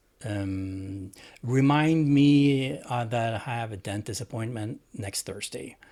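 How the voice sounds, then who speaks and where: A man with a Swedish accent, medium in pitch and dark and mellow in tone, very slow with ordinary pitch variation, in a very clean recording against a silent background. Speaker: tech hobbyist vlogger. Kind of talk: tutorial. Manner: halting.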